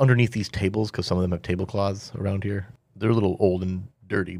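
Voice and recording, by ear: A natural voice reads aloud. Its intonation is fairly even.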